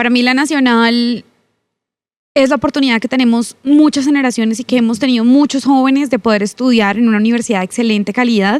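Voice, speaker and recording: Intonation stays fairly even while the words come at a very fast pace. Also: woman, high pitch for a woman. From Colombia, Bucaramanga (Santander). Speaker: congresswoman. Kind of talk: podcast interview. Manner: forceful, sounds like scolding.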